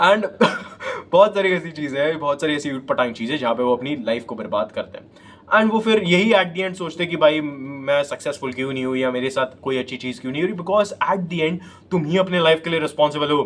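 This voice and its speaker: Noticeable background noise sits behind the speaker. A man talks with lively intonation at a fairly high pitch. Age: 20s. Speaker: self-improvement YouTuber. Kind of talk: motivational talk to camera. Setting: self-recorded on phone selfie camera.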